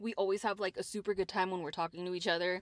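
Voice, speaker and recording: Recorded with a dry, close sound, no echo and a quiet background, a woman speaks in a plain, everyday voice with a medium pitch and fairly even intonation. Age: 30s. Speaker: podcast host. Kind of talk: casual chat.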